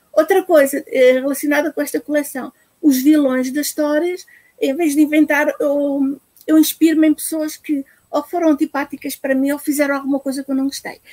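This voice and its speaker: Dry and close with no echo, a high-pitched woman's voice moves at a moderate pace with fairly even intonation. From Portugal. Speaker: children's book author. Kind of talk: live-streamed interview. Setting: live video stream.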